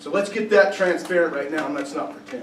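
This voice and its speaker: There is noticeable background noise and audible room echo. A man with a high voice speaks with ordinary pitch variation. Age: younger than 70. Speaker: political candidate. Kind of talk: candidate forum Q&A.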